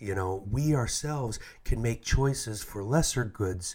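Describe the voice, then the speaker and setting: A man speaks in a somewhat breathy voice with ordinary pitch variation, captured in a very clean recording with a silent background. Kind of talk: reflective talk, homily-style podcast reflection. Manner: casual, conversational, with filler words.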